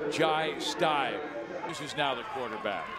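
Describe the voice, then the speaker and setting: A man talks over noticeable background noise. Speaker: play-by-play announcer. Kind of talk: live sports commentary.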